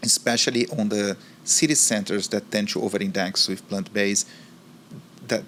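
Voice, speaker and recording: A man speaks at a moderate pace in a Brazilian accent. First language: Portuguese. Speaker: marketing executive. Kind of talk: interview.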